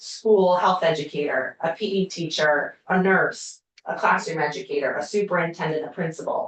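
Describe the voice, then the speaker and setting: A woman speaks at a medium pitch and a moderate pace, with hardly any pauses and ordinary pitch variation. Hers is an ordinary speaking voice. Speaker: university community schools researcher. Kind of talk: legislative committee testimony.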